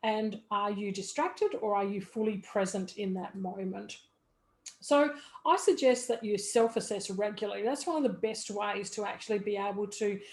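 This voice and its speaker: A woman's fairly high voice at a moderate pace, an ordinary speaking voice with ordinary pitch variation. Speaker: business coach. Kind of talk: tutorial.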